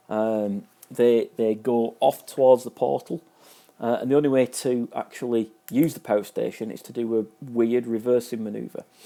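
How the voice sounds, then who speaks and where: A man with a Manchester accent, at a medium pitch and moderate pace, his dark, mellow tone paired with fairly even intonation and big swings in loudness. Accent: Manchester-area. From northern England, near Manchester. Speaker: video game reviewer. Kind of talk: casual review commentary. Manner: hesitant, many fillers and repetitions.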